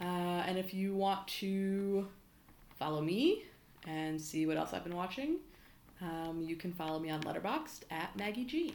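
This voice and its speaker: A woman with an unremarkable speaking voice talks at a fairly slow pace and medium pitch, with lively intonation. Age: 30s. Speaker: podcast guest. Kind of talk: casual chat.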